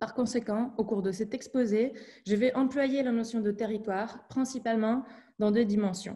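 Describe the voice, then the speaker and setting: Somewhat breathy and fairly high-pitched, a woman speaks at a moderate pace with fairly even intonation and a dark, mellow tone against a quiet background. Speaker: doctoral student presenting research. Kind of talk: academic seminar presentation. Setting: video call. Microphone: video call.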